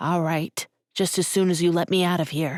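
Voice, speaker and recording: In a put-on character voice, a female-sounding speaker growls at middle pitch and a moderate pace with monotone, flat intonation, on a very clean recording with a silent background. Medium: read story. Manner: whiny, self-pitying.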